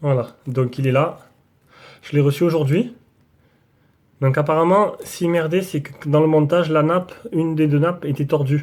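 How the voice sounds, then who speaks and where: A man with a Marseille accent talks fairly slowly at a fairly high pitch, his intonation fairly even. Long pauses come often. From southern France, Marseille area. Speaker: tech YouTuber. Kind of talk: casual vlog. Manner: casual, hesitant with many fillers.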